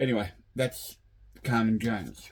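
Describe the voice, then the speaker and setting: Medium in pitch, this man talks with an Australian accent. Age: 60s. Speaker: vinyl collector YouTuber. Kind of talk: casual video monologue. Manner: halting, many fillers.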